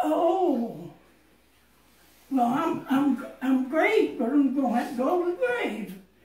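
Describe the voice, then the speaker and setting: Speaking at a very slow pace with long, frequent pauses, the voice carries lively intonation amid audible room echo. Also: woman, high pitch for a woman. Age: 90s. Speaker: poet, author of a book of poems. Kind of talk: casual family conversation. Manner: surprised, delighted. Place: home room.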